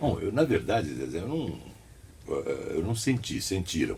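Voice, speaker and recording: Vocal fry runs through a man's dark, mellow tone. He keeps a moderate pace. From São Paulo state, Brazil. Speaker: radio announcer and journalist. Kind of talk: interview.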